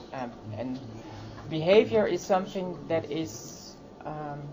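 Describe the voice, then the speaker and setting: Audible room echo is present. A woman with a very deep, low pitch speaks in a lively intonation. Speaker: transgender activist. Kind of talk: conference workshop talk. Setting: conference workshop. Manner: slow; halting, many fillers.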